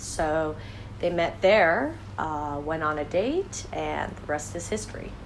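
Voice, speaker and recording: This woman has a very deep, low pitch and an American accent, speaking at a fairly slow pace. Noticeable background noise and audible room echo fill the recording. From western US (Montana, Utah, California). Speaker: project founder. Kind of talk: interview answers, self-read questions.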